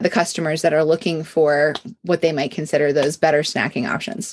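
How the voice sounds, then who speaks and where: Here is a woman with an American accent and an unremarkable speaking voice. Her pitch is fairly low and her pace fairly quick. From Pennsylvania. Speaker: podcast host. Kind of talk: podcast interview.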